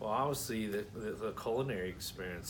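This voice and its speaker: Audible room echo surrounds a man speaking at a fairly low pitch with ordinary variation. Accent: American. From Florida (Brooksville, near Tampa). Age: 30s. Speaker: scholarship applicant, rancher and aspiring chef. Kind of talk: personal application video, speaking to camera. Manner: halting, many fillers and repeated words.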